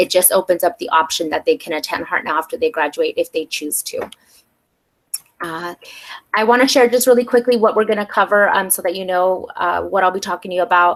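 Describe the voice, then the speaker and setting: She talks at a fairly quick pace with an American accent. Her pitch is medium for a woman. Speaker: community college outreach coordinator. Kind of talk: informational presentation. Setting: webinar video call. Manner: fast; hesitant fillers (um).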